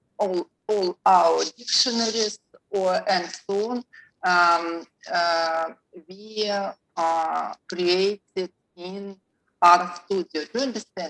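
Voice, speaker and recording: Speaking in a dry, close sound with no echo, a woman with a Russian accent uses a medium pitch and fairly even intonation at a very slow pace with long, frequent pauses. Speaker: professor presenting research. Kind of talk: conference Q&A. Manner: halting.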